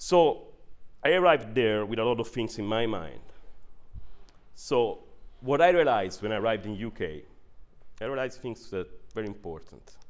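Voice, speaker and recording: With an Italian accent, a man of medium pitch speaks with lively intonation and long, frequent pauses. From northern Italy. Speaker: neuroscientist and managing director. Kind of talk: workshop presentation. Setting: workshop with audience.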